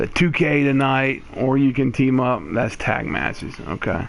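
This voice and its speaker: A man's medium-pitched voice at a fairly slow pace, with audible room echo. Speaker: gaming YouTuber. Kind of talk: tutorial.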